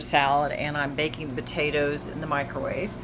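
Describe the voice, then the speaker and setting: A woman speaks over noticeable background noise. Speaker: RV travel vlogger. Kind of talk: casual vlog home tour. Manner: fast.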